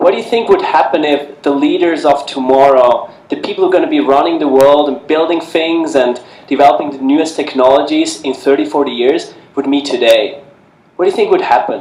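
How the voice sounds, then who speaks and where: With a slight Swiss accent, a man talks at a fairly quick pace in a fairly high pitch with ordinary pitch variation over noticeable background noise. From Switzerland. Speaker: organization founder, panelist. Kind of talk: panel talk.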